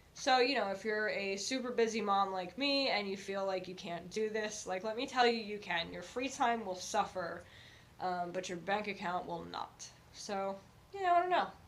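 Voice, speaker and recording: With audible room echo and noticeable background noise, a woman talks at a moderate pace in a medium pitch, her pitch varying in an ordinary way. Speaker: thrift reseller vlogger. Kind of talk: casual haul vlog talk to camera. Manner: hesitant, many fillers.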